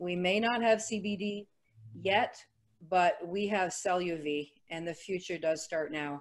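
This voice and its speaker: In a Quebec accent, a woman talks at a medium pitch with ordinary pitch variation. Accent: Canadian French. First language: French. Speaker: network marketing associate. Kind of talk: testimony at a company webinar.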